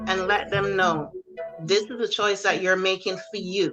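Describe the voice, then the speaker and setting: Music plays in the background as a woman talks at a medium pitch with fairly even intonation. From Barbados. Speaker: army drill sergeant, military veteran. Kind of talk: interview answer. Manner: firm, direct.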